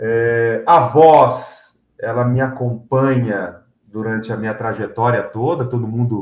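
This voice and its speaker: Speaking at a very slow pace, a man barely pauses at all. His pitch is medium and his intonation fairly even. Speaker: announcer and MC. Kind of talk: interview.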